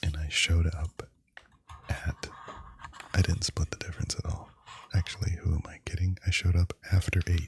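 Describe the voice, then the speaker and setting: A man speaks at a very deep, low pitch in a monotone, flat intonation with a relaxed tone. The sound is dry and close with no echo, and his pauses are long and frequent. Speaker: ASMR content creator. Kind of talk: ASMR unboxing, casual talk to camera. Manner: soft-spoken, slow, relaxed.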